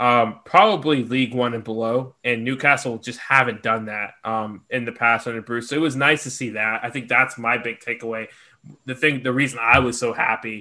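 A man's bright, sharp tone at medium pitch, moderate pace and fairly even intonation. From Georgia, US. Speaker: podcast co-host, football fan. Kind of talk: casual chat.

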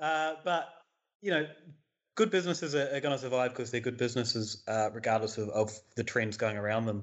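A man with a New Zealand accent talks at a fairly quick pace in a medium pitch. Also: ordinary pitch variation. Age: 30s. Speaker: beer writer and podcaster. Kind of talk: interview.

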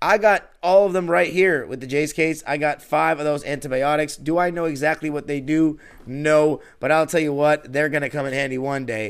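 An ordinary speaking voice from a man with an American accent, fairly high in pitch with ordinary pitch variation, at a moderate pace with hardly any pauses, in a very clean recording with a silent background. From Los Angeles, California. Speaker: podcast host, basketball fan. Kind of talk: infomercial-style sponsor ad read, promotional pitch; sports podcast monologue. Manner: polished, upbeat salesman tone; steady, persuasive, reassuring pace.

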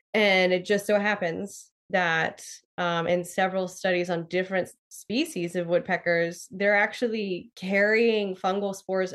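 In a plain, everyday voice, a woman with an American accent talks at a fairly slow pace, her medium-pitched delivery fairly even in intonation. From southwestern Pennsylvania, US. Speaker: forest ecologist. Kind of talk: casual interview.

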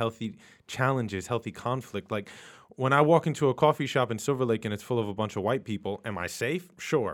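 A man with an American accent and an ordinary speaking voice, medium in pitch with ordinary pitch variation, at a fairly quick pace on a very clean recording with a silent background. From New York City, Queens. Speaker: podcast host and author, guest host. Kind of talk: casual chat.

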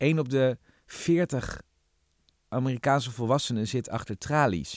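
A man's medium-pitched voice at a very slow pace, with ordinary pitch variation and a dry, close sound with no echo, in a very clean recording with a silent background. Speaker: podcast host, journalist. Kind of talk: casual chat.

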